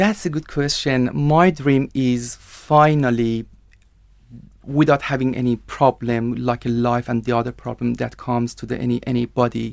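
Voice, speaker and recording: The speaker talks at a moderate pace with an Iranian accent. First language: Persian. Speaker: IELTS candidate, TV producer. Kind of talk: language exam interview. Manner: halting.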